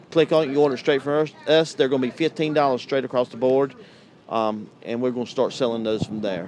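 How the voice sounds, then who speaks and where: A man with a North Carolina accent talks at a fairly quick pace. His medium pitch shows ordinary pitch variation. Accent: Southern US (North Carolina). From US South, North Carolina. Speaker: tank cleaning business owner. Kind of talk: interview at trade show. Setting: vendor hall at RV show.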